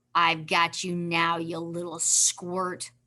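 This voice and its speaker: In a put-on character voice, the speaker growls at a very slow pace with a middle pitch and monotone, flat intonation. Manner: snarling, menacing.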